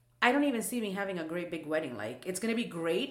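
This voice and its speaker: Audible room echo is present. The talking goes at a very fast pace. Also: woman. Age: 30s. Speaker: podcast co-host. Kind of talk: casual chat.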